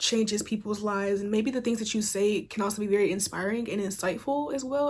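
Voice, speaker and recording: At a fairly quick pace, a woman talks in a somewhat breathy voice with fairly high pitch and fairly even intonation. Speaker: tarot reader. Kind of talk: tarot reading monologue. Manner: fast; casual, filler-heavy.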